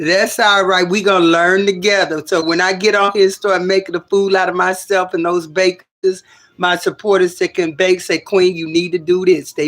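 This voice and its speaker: A woman at a medium pitch speaks with big swings in loudness. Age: 60s. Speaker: livestreamer. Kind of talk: casual livestream chat. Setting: home livestream. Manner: animated.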